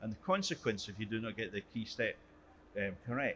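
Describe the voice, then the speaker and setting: A man speaks in a Scottish accent at a medium pitch. His tone is bright and sharp. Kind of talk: conference presentation.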